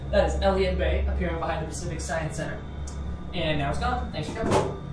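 A woman talks at a very fast pace. Music plays in the background, and the room echo is audible. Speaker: elevator operator guide. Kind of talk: tour guide commentary. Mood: friendly, upbeat.

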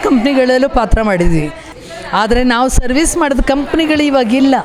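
A woman's high voice at very even loudness, with audible room echo and crowd noise in the background. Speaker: stage actress. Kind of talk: interview.

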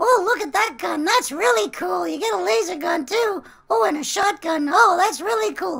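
This cartoonish character voice is squeaky and extremely high, making very wide pitch swings at a moderate pace. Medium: puppet show. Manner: breathless, gushing.

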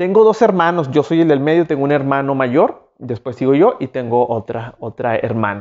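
Against a quiet background, a man with a fairly high-pitched voice speaks at a moderate pace in an animated tone with lively intonation. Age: 30s. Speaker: YouTuber; vlogger. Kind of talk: self-interview monologue. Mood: relaxed, warm, animated. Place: home room. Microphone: lapel.

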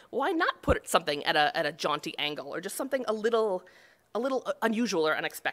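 A woman with an American accent talks at a very fast pace, her pitch fairly high. Her pitch swings very widely. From Buffalo, New York; New York. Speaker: cartographer; conference presenter. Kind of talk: conference talk. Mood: light, humorous. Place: hall.

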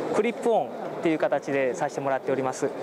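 Noticeable background noise behind a man's dry voice, free of echo. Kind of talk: product presentation. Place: hall. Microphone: camera far.

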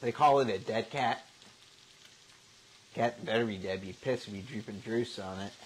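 A man is talking with ordinary pitch variation. His loudness swings widely. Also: moderate pace. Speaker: home cooking show host. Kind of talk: casual vlog chat. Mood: joking, amused. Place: kitchen. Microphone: lapel.

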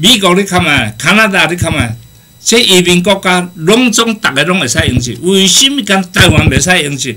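An animated, high-pitched man with very wide pitch swings at a moderate pace. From Taiwan. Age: 60s. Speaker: guest speaker, professor abroad. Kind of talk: casual talk show conversation, storytelling. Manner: animated, humorous, rambling. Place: studio.

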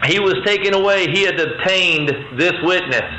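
Noticeable background noise sits behind this recording. Here a man speaks at a moderate pace. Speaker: preacher. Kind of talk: sermon. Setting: stage with audience.

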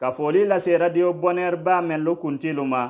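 Against a quiet background, a man talks in a high pitch. His pitch variation is ordinary. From Guinea, Dabola; Guinea. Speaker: Islamic preacher on radio. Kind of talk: radio sermon. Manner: formal. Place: studio. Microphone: studio mic.

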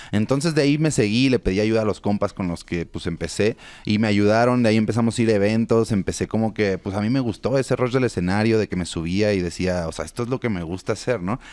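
Talking at a very fast pace with hardly any pauses, a man with a Mexico City accent uses a fairly low pitch and ordinary pitch variation in a dry sound with no echo. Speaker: freestyle rapper; interview guest. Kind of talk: interview. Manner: casual slangy. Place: studio. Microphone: studio mic.

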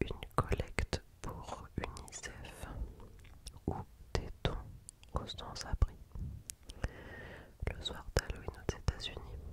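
A soft-spoken whisper moves at a very slow pace with long, frequent pauses. The sound is dry with no echo, under loud background noise. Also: woman. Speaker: ASMR creator. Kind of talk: soft-spoken ASMR quiz reading. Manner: close, soft ASMR whisper. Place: home room. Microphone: studio mic.

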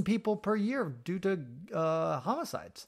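Music plays in the background. A man is speaking. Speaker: travel writer and podcaster.

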